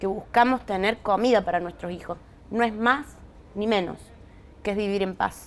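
A woman keeps her intonation fairly even, speaking at a moderate pace with a medium pitch. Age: 40s. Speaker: social movement leader. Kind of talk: interview.

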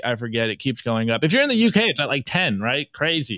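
A man speaks in an animated tone. The sound is dry and close, without echo. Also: very clean recording, silent background. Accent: American. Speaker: bitcoin podcast co-host. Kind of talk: live-streamed podcast commentary.

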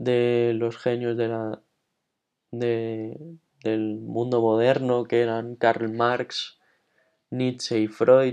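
Over a quiet background, a man with a dark, mellow tone talks very slowly in a monotone, flat delivery. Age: 20s. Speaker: podcaster. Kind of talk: reflective monologue. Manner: halting.

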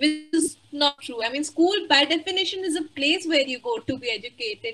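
A woman's raised, projected voice, high in pitch and bright and sharp in tone, with lively intonation at a moderate pace. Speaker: webinar moderator. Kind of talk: formal webinar moderation. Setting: online webinar.

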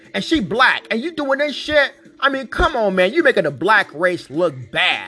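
Music plays in the background as a man speaks fairly slowly in a raised, projected voice, animated in tone and swinging very widely in pitch. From Northern California, Vallejo. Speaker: podcast host and rapper. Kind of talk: casual monologue.

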